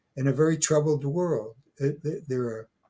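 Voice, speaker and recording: A man speaks in a somewhat breathy way. His tone is dark and mellow. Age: 80s+. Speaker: retired professor and folklore scholar. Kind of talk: interview. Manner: halting, many fillers and restarts.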